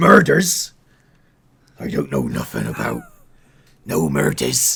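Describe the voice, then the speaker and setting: Putting on a character voice, a man growls in a very deep, low, gravelly and raspy tone at a fairly slow pace. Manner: creepy, sinister, twisted.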